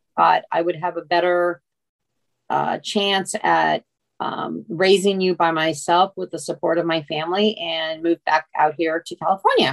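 A woman talks at a moderate pace with a fairly low pitch and flat, monotone intonation. The sound is dry and close, with no echo. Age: 60s. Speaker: retiree, mother of the host. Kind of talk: casual interview. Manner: halting.

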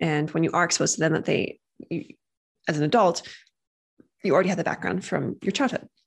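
A woman at a fairly low pitch with vocal fry, a very fast pace broken by long, frequent pauses, ordinary pitch variation and a quiet background. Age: 30s. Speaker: podcast host, parenting behavior specialist. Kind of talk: casual educational monologue. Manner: conversational.

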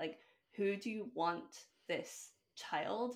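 A woman with an American accent and lively intonation on a very clean recording with a silent background. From Scotland. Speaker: breathwork facilitator and coach. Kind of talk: casual interview conversation.

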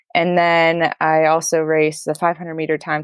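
The voice carries an American accent. The sound is dry and close, with no echo. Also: woman. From Maine, northeastern US. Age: 20s. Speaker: paracycling athlete. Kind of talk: interview.

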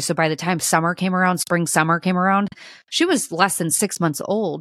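A woman of medium pitch speaks at a fairly quick pace. The recording is very clean and silent behind her, dry and close with no echo. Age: 30s. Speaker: podcast host, mother. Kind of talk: casual solo podcast monologue. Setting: home kitchen.

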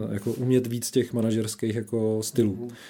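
A man speaks at a medium pitch with a dark, mellow tone and fairly even intonation. The recording is very clean, with a silent background. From Czechia, Šumperk (northern Moravia). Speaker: HR director of a bank. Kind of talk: interview. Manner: hesitant, many fillers.

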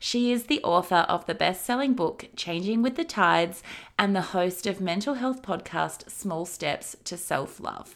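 A woman with an ordinary speaking voice talks at a fairly slow pace, her medium pitch carried by lively intonation. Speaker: podcast host and marketing coach. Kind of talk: interview, intro and outro.

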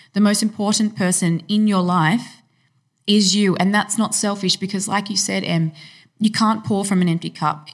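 A woman speaks at medium pitch and a moderate pace, somewhat breathy, with fairly even intonation and very even loudness. The recording is very clean with a silent background. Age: 30s. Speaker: fitness professional and personal trainer. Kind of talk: casual chat.

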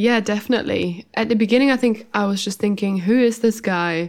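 A woman speaks at a fairly quick pace in a German accent, with a fairly high pitch and ordinary pitch variation. The recording is very clean, with a silent background. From Germany. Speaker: podcast co-host, hypnotherapist. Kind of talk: casual chat.

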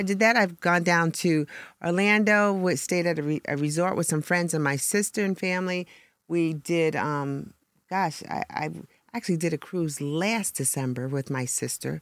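A woman with a plain, everyday voice speaks at a moderate pace and fairly low pitch with ordinary pitch variation, on a very clean recording with a silent background. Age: 60s. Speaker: ministry leader. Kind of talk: casual chat.

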